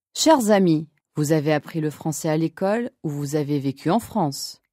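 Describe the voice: A woman with a low voice and a dark, mellow tone speaks at a moderate pace with lively intonation, on a very clean recording with a silent background and a dry, close sound with no echo.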